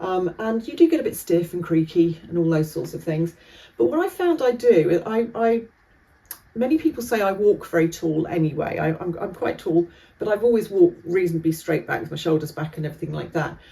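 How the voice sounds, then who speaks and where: A woman with a British accent speaks at a fairly quick pace in a fairly low voice. Her pitch varies in an ordinary way, and there is noticeable background noise. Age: 60s. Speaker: vlogger and driving instructor. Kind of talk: casual vlog monologue. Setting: standing by Christmas tree at home. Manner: chatty, hesitant with fillers.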